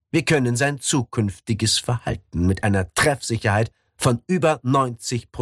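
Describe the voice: Over a quiet background, someone reads aloud plainly.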